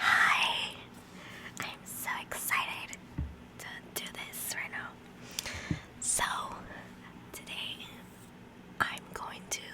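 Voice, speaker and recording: Whispered speech from a woman, very slow, broken by long, frequent pauses, with big swings in loudness over noticeable background noise. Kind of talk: ASMR oracle reading and love poems for bed. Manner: whispered, soft-spoken.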